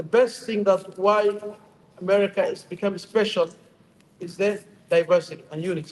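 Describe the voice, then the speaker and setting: Here is a man with a Somali accent. His pitch is high. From Somalia. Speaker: imam. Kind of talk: short speech at community iftar. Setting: stage at public event.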